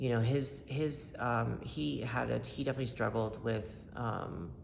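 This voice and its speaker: A man with an American accent speaks fairly slowly at a medium pitch, with vocal fry and audible room echo. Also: lively intonation, very even loudness. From upstate New York and North Carolina. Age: 30s. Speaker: person in recovery sharing testimony. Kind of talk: testimony. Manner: halting, many fillers; casual, conversational.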